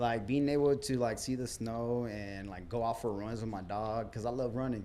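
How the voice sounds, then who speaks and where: A man with an American accent talks at medium pitch and a moderate pace, with fairly even intonation and a dark, mellow tone. Room echo is audible. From southern California desert. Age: 30s. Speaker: cannabis store manager. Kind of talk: casual interview. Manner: hesitant, many fillers.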